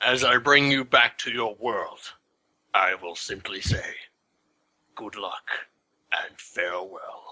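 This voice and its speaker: Using a put-on character voice, a man speaks at a medium pitch in a solemn tone, moving at a fairly slow pace with long, frequent pauses. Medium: actual play. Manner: slow, solemn, portentous.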